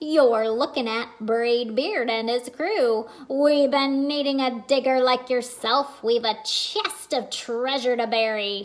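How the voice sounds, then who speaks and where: Loud and fairly slow, a woman talks in a high-pitched, put-on character voice. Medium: read story. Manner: loud, blustery pirate talk.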